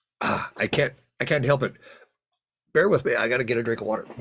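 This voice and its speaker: Somewhat breathy, the voice belongs to a man. It sits at medium pitch. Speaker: Lions club trainer. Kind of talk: online training session. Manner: halting, with repetitions.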